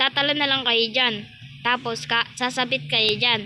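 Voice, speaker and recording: A woman speaks at a fairly slow pace in a high pitch. Noticeable background noise sits behind her. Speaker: gaming YouTuber. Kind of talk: gameplay commentary. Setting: alone in private game server. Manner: soft-spoken; casual, halting.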